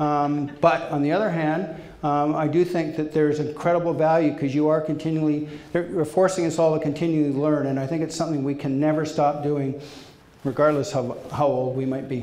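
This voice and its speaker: The intonation stays monotone and flat, with audible room echo and noticeable background noise in the recording. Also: man, fairly high pitch for a man, fairly quick pace. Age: 60s. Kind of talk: panel Q&A answer. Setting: dinner meeting with audience. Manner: halting, many fillers.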